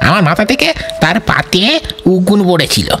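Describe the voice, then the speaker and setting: Over clear background noise, a woman puts on a character voice at medium pitch and a moderate pace. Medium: read story.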